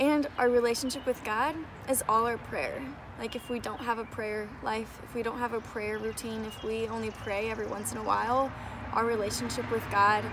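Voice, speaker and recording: A woman's monotone, flat delivery at a fairly quick pace amid noticeable background noise. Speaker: faith vlogger. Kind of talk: casual vlog chat. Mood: earnest, encouraging. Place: garden. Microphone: phone near.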